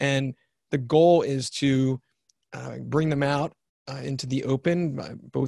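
Somewhat breathy, a man speaks at a medium pitch with fairly even intonation, in a dry, close sound with no echo. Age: 50s. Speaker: author and success trainer. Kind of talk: interview conversation.

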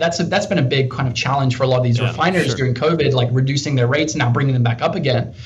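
Over noticeable background noise and audible room echo, a man with an American accent speaks at a fairly high pitch with ordinary pitch variation. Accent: little British accent left, sounds American. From England, Peterborough. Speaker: business development professional in industrial tech. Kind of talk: interview conversation.

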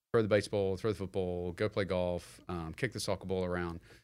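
A man with a New Zealand accent, very deep and low in pitch, monotone and flat in intonation, at a fairly quick pace in a very clean recording with a silent background. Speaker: real estate investor. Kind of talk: interview.

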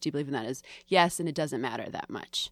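A woman with an American accent and a normal speaking voice talks at a fairly quick pace with ordinary pitch variation in a very clean recording with a silent background. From Greater Boston, Massachusetts. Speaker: film critic. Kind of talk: casual chat. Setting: studio.

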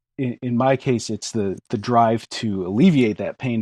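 A man with an American accent talks at a moderate pace in a medium pitch with ordinary pitch variation and a dark, mellow tone, his sound dry and close with no echo over a quiet background. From US Northeast (Western Connecticut). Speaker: craftsman and small business owner. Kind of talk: interview.

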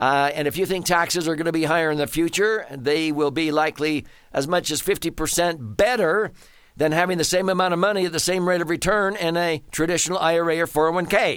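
A man's high-pitched voice comes through on a very clean recording, the background silent. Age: 70s. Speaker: radio host and financial strategist. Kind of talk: radio talk, financial advice monologue. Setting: studio.

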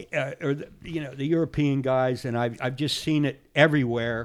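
This man has a normal speaking voice, fairly high in pitch, and he talks at a moderate pace. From central Pennsylvania. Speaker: fly tyer. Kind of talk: casual interview. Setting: studio.

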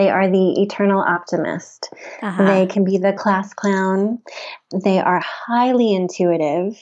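A woman with an American accent and an unremarkable speaking voice talks at a fairly slow pace and medium pitch, with fairly even intonation and very even loudness. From US South, Memphis, Tennessee. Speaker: wellness center founder. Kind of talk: interview.

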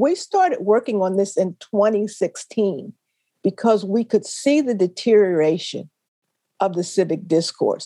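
Heard dry and close with no echo, a woman with an American accent speaks fairly slowly in a dark, mellow tone at a medium pitch. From US, Philadelphia (West Philly). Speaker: retired education professor. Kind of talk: interview.

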